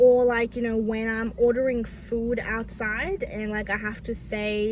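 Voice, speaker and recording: Room echo is audible in this clip. A woman speaks fairly slowly. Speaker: vlogger. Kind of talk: personal vlog talk. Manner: halting, with repetitions and fillers.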